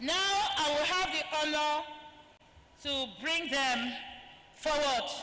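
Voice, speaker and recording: Speaking in a raised, projected voice at a very slow pace, a woman uses a high pitch and lively intonation, with audible room echo. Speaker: event moderator. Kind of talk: formal introduction of speakers. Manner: formal.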